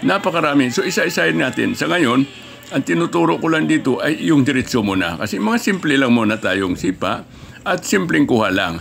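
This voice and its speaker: Amid noticeable background noise, a man at a medium pitch talks at a fairly quick pace, his voice making very wide pitch swings. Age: 80s+. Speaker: martial arts instructor. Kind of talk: tutorial.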